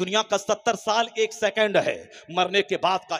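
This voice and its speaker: This man speaks at a high pitch. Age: 50s. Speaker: Islamic cleric. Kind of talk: sermon.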